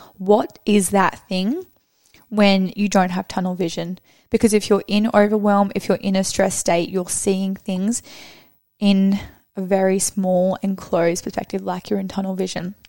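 A woman's dark, mellow, medium-pitched voice, monotone and flat, at a moderate pace. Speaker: podcast co-host. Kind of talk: casual chat. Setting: studio.

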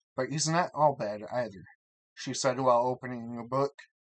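Someone is reading aloud in a natural voice, with ordinary pitch variation. The background is quiet.

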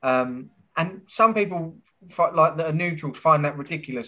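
Fairly high in pitch, a man talks in a bright, sharp tone. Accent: English. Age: 30s. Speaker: podcast host. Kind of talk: interview.

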